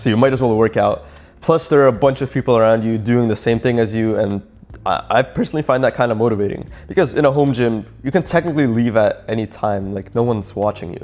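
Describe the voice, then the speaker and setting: A man speaks at a very fast pace in a medium pitch with ordinary pitch variation. Music plays in the background. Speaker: fitness YouTuber. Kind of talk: casual talking-head advice video. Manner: halting, self-described stuttering; rambling.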